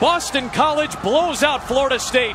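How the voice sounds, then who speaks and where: A man talks at a very slow pace, his pitch varying in an ordinary way, while noticeable background noise runs underneath. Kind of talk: live commentary.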